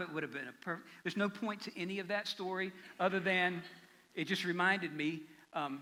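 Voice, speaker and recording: Raising and projecting his voice, a man speaks in a bright, sharp tone. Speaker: pastor. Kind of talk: sermon. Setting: church. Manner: fast.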